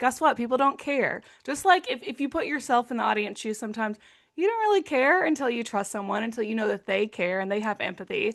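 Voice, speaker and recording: With an Arkansas accent, a woman talks at a very fast pace in a high pitch with lively intonation. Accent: Arkansas Southern US. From Arkansas, US South. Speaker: nonprofit executive director, former utility communicator. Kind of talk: video-call interview.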